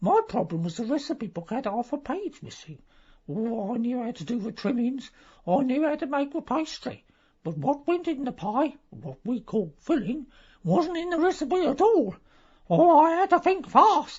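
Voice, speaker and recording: A put-on character voice, high in pitch, with very wide pitch swings. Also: moderate pace. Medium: audio drama. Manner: rambling, gossipy.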